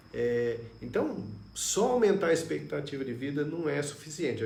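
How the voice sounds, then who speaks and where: A man talks at a fairly slow pace with lively intonation, audible room echo and noticeable background noise. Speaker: neurologist. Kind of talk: live stream health talk. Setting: Facebook live stream.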